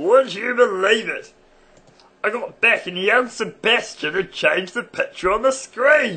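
A man's put-on character voice at an extremely high pitch for a man, delivered at a moderate pace. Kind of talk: comic satirical monologue.

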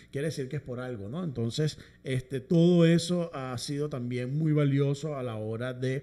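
The voice is dark and mellow with ordinary pitch variation, moving at a moderate pace. The background is quiet. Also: man, fairly high pitch for a man. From Venezuela, Caracas. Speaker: musician and orchestra conductor; guest. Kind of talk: interview. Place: studio. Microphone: studio mic.

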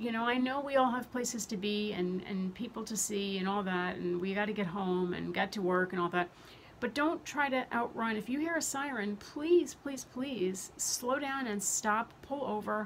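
At a moderate pace, a woman speaks with lively intonation over light background noise. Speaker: health vlogger. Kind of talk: casual vlog chat. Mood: earnest, somewhat angry. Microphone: phone near.

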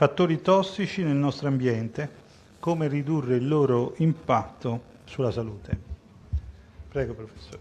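A man speaks at a moderate pace with ordinary pitch variation and a somewhat breathy quality. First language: Italian. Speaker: conference moderator. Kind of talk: formal announcement. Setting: stage with audience. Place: hall.

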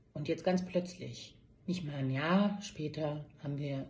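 A somewhat breathy woman at a very slow pace, with ordinary pitch variation. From Berlin, Germany. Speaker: nurse. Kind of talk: personal testimony monologue. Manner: hesitant with many fillers. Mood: upset, earnest appeal. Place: office. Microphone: phone near.

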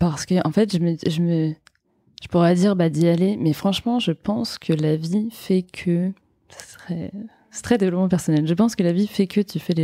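In an unremarkable speaking voice, a woman with a fairly low pitch and ordinary pitch variation talks at a moderate pace, the sound dry and close with no echo. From France, Brittany (Vannes). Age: 20s. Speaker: entrepreneur, founder of women's wellness brand. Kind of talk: casual interview.

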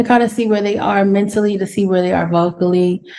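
A woman speaks with an American accent. Her tone is dark and mellow. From US West Coast, Los Angeles. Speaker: singer and vocal coach; vocal coach. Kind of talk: casual interview. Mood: calm, explanatory. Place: home room. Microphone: video call.

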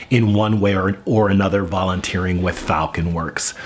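A man speaks at a moderate pace. His pitch sits fairly low. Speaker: vlogger, teacher. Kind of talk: casual vlog chat. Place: kitchen. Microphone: camera far.

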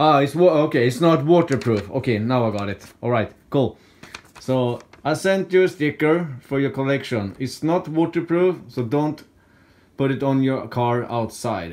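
With a Swedish accent, a man speaks at a moderate pace in a fairly high voice full of lively intonation. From Sweden. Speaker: YouTuber, scrap metal hobbyist; YouTuber. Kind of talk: casual vlog talk. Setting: at home. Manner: halting. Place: home room. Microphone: phone near.

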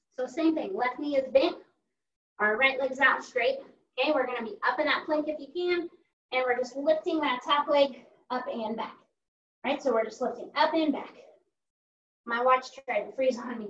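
Moderate pace with long, frequent pauses, ordinary pitch variation and audible room echo. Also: woman. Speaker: fitness instructor. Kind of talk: workout class instruction. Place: home room. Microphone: video call.

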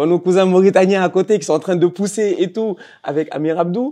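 Against a quiet background, a man with a dark, mellow tone talks at a fairly quick pace with ordinary pitch variation. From Senegal, Dakar; Senegal. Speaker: football podcast host. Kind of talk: interview. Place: hall. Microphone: lapel.

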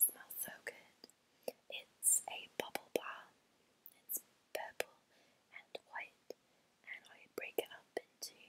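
A woman whispers at a very slow pace with long, frequent pauses. Her loudness swings widely. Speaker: vlogger. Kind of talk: casual haul vlog chat. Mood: warm, enthusiastic. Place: home room. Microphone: earbuds.

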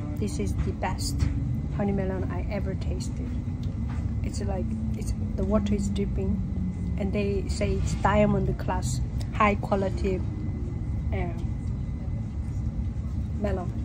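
Amid loud background noise, a woman speaks with long, frequent pauses. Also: fairly slow pace. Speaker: travel vlogger. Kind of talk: casual vlog chat. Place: train. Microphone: phone near.

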